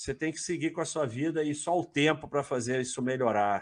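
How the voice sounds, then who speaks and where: A man speaks over a quiet background. His pitch moves in an ordinary way. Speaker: finance livestream host. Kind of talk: casual livestream chat. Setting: live stream.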